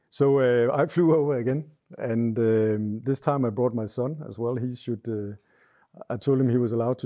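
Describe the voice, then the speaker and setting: The voice has a dark, mellow tone and fairly even intonation at a moderate pace against a quiet background. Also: man. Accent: Danish. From Denmark. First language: Danish. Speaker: hunter. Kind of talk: casual chat. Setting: hunting cabin. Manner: halting. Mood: relaxed, calm storytelling. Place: home room.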